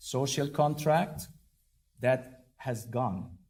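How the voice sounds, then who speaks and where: Dark and mellow describes this man's tone. His pitch variation is ordinary. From Egypt. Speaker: diplomat and professor. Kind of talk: public speech. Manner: loud; formal.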